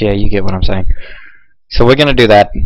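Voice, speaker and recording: Noticeable background noise sits behind a man whose speech has ordinary pitch variation. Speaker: gaming video creator. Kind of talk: gameplay commentary. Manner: casual with many fillers.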